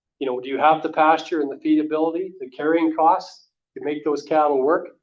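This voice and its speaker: Speaking fairly quickly with a Canadian Prairie accent, a man keeps his fairly high pitch fairly even. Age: 60s. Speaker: livestock marketer. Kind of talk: lecture. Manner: conversational, frequent fillers.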